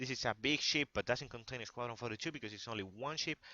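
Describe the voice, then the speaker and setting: Fairly quick speech in a Spanish accent, with ordinary pitch variation. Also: man. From Spain. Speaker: gaming youtuber. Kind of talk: tutorial. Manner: halting.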